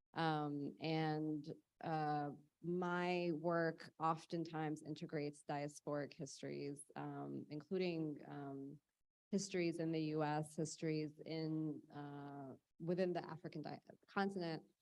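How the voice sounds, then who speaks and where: A woman with an American accent talks at a fairly slow pace in a very deep, low pitch and a monotone, flat intonation. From United States. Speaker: artist. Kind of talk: panel discussion.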